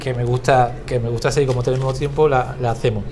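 A man's speech carries audible room echo, with noticeable background noise in the recording. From Cádiz, Spain. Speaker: podcast host. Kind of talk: interview.

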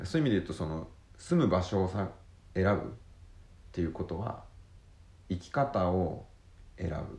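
Very deep and low-pitched, a man speaks somewhat breathily at a moderate pace with ordinary pitch variation, big swings in loudness, and long, frequent pauses. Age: 30s. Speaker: podcast co-host, island resident. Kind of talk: casual chat.

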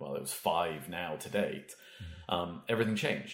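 A man with a Welsh accent. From Wales, small town. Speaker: HR executive. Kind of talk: casual interview.

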